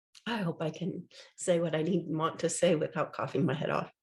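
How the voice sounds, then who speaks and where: Somewhat breathy woman's voice, fairly low in pitch. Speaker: podcaster. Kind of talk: casual podcast talk.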